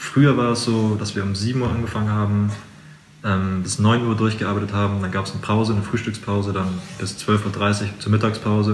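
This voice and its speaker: Amid noticeable background noise and audible room echo, a man talks very fast. His pitch is fairly low, and his intonation fairly even. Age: 20s. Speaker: carpenter. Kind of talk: interview.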